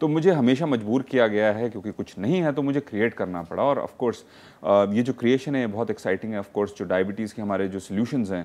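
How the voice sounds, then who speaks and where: Here is a man with an unremarkable speaking voice at medium pitch. His intonation is lively, and he leaves hardly any pauses. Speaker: doctor. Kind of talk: TV call-in health show.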